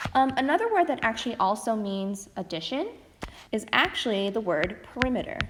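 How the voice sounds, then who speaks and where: A woman speaks at a fairly quick pace with a fairly high pitch and lively intonation. Noticeable background noise is present. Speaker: math teacher. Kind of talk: recorded lesson. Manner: fast.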